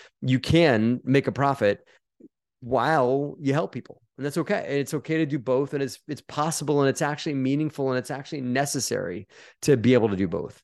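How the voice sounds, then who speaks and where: A man talks at a fairly quick pace and a fairly high pitch, with ordinary pitch variation. He has a plain, everyday voice over a quiet background. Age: 40s. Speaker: real estate investor. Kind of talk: interview.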